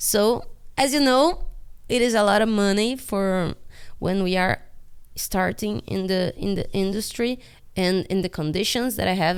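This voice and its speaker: Speaking at a moderate pace, a woman uses a medium pitch with ordinary pitch variation. The recording is very clean, with a silent background. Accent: Portuguese. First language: Portuguese. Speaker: animator. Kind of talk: casual vlog monologue. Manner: halting.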